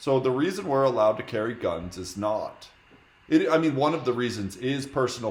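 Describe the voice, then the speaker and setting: A man with an American accent talks at a fairly quick pace with lively intonation in an ordinary speaking voice. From United States. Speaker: streamer debating strangers in video chat. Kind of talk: heated debate. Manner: argumentative, interrupting.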